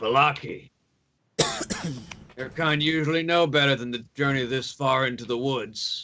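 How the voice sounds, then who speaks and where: Using a gruff, put-on character voice at a medium pitch, a man speaks at a moderate pace with fairly even intonation and long, frequent pauses. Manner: wary, stern.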